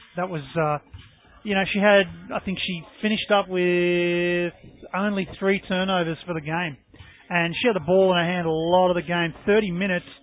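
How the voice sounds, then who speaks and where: With an Australian accent, a man speaks at a moderate pace in a high voice with monotone, flat intonation. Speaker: basketball colour commentator. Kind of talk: live sports commentary.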